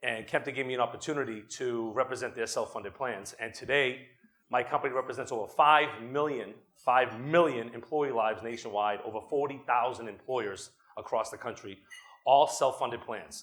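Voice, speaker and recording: With a Boston accent, a man speaks at a fairly quick pace and a medium pitch. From Boston, Massachusetts. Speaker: attorney and company executive, conference speaker. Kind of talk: conference talk. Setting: stage with audience. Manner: fast; animated.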